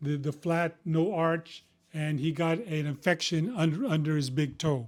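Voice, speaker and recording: A man with an American accent and an unremarkable speaking voice, fairly high in pitch, at a fairly slow pace with ordinary pitch variation and very even loudness. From Texas, Houston. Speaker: physician. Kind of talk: casual medical explainer. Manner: conversational with frequent fillers.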